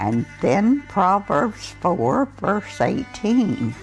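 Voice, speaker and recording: There is faint music in the background. Over it, a woman talks. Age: 80s+. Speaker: scripture reader. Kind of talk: scripture reading. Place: home room. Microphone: lapel.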